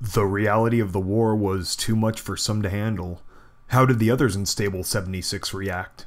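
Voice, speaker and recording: A man uses a put-on character voice at a fairly low pitch and moderate pace. The recording is very clean, with a silent background. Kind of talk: audio drama, radio interviewer.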